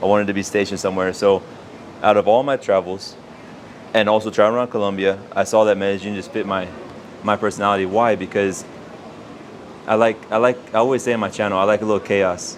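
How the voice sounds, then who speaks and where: Over noticeable background noise, a man with a Texan accent talks very fast in a fairly low, monotone voice, leaving long, frequent pauses. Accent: Texan American English. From Texas (Houston). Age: 30s. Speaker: expat YouTuber. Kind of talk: interview.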